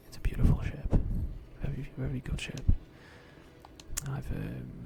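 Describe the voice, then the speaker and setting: The pace is moderate and the voice is a whisper. Background noise can be clearly heard. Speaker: gaming video creator. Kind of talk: whispered gameplay commentary. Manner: whispering; soft-spoken.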